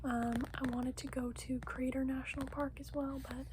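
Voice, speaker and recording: The voice is soft-spoken, at a moderate pace. Background noise is noticeable. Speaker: ASMR creator. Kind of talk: casual ASMR haul talk.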